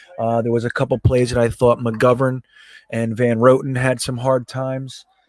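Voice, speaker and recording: Speaking in an American accent, a man keeps a moderate pace at a medium pitch with monotone, flat intonation. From northeast New Jersey. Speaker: sports fan channel host. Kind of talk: casual live game-watching chat. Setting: live stream from home.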